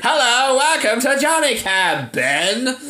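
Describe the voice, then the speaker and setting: A put-on robotic character voice speaks at a high pitch and a fairly slow pace. Noticeable background noise runs underneath. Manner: creepy, robotic.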